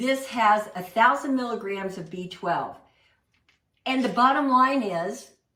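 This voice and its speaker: Speaking at a fairly slow pace, a woman with a fairly high pitch and a bright, sharp tone swings widely in loudness over audible room echo. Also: lively intonation. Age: 60s. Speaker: plant-based cooking instructor. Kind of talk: cooking class presentation. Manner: animated.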